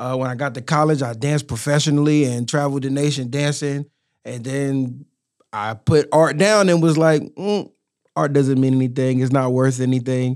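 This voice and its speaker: A man speaks with a normal speaking voice at a moderate pace. His pitch sits fairly high, with ordinary variation. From born in New York (Harlem), raised in Durham, North Carolina from middle school. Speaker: rapper and community activist. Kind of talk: casual interview chat. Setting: podcast studio.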